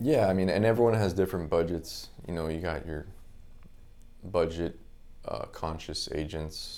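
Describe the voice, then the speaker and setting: In an American accent, a man with a very deep, low pitch and a dark, mellow tone speaks with long, frequent pauses amid audible room echo. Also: ordinary pitch variation, moderate pace. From South Florida, Palm Beach Gardens. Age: 30s. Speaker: real estate photographer and business owner. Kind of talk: casual interview chat.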